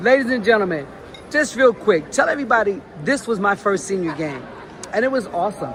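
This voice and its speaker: Animated in tone, a woman of medium pitch speaks at a fairly quick pace with very wide pitch swings against noticeable background noise. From New Jersey. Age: 60s. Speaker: sports talk show host. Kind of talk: casual interview.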